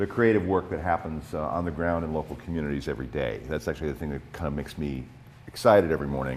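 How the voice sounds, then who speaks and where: A man speaks at a very fast pace with ordinary pitch variation, and audible room echo surrounds his voice. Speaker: nonprofit president and public policy advocate. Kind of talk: conference presentation. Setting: conference in high school room with microphone. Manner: many fillers and repetitions.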